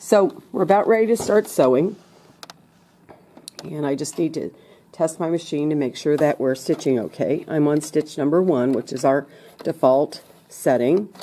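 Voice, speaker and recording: Through noticeable background noise, a woman with a very deep, low pitch speaks at a moderate pace in a lively intonation, with long, frequent pauses. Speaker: sewing teacher. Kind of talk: tutorial. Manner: casual, step-by-step.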